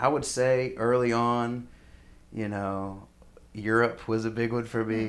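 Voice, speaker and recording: Fairly slow, monotone speech from a man at medium pitch, with flat intonation and audible room echo. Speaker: musician. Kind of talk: interview. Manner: halting.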